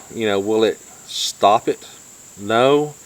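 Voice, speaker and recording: Using lively intonation, a man speaks with a North Georgia accent. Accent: North Georgia country. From US South, North Georgia. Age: 50s. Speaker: YouTube vlogger. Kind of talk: casual chat.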